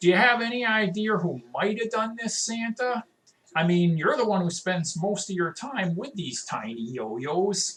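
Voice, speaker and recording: A gruff put-on character voice at middle pitch and a moderate pace. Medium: read story. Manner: gruff, blunt.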